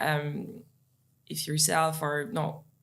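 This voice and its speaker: With a non-native accent, a woman speaks at a very deep, low pitch in a monotone, flat intonation. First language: not English. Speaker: sales leader. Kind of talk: podcast interview. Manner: hesitant, many fillers.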